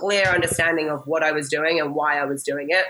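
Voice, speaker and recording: An energetic tone at a very fast pace, in an American accent. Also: woman. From England, later Massachusetts. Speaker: fitness coach and gym owner. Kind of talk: interview conversation.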